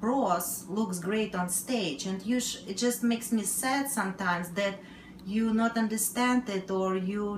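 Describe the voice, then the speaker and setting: With audible room echo and light background noise, a woman talks at a fairly slow pace and with fairly even intonation. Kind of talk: casual vlog chat. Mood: earnest, a bit frustrated. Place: kitchen. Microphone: camera far.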